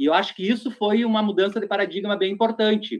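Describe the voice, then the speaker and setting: Here a man speaks at a high pitch. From Rio Grande do Sul interior (Nonoai). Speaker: LGBT activist group coordinator. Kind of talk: radio interview discussion.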